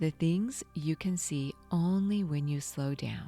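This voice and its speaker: A woman's very deep, low voice in a warm, calm tone at a very slow pace, with music in the background. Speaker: meditation guide / podcast host. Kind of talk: guided meditation podcast narration. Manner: warm, calm, conversational.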